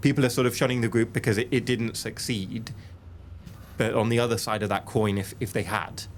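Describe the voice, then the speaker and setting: At a fairly quick pace, a normal speaking voice delivers its words with fairly even intonation. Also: man, medium pitch for a man. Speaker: interviewer, journalist. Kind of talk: interview question.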